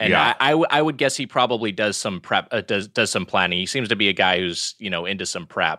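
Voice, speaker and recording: Bright and sharp in tone, a man's voice swings very widely in pitch, recorded very cleanly against a silent background with a dry, close sound and no echo. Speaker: podcast host.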